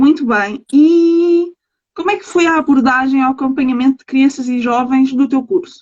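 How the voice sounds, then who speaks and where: A woman speaks at a moderate pace. Her voice is high, with ordinary pitch variation. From Portugal (Sintra). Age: 20s. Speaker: livestream host. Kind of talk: interview. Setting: livestream.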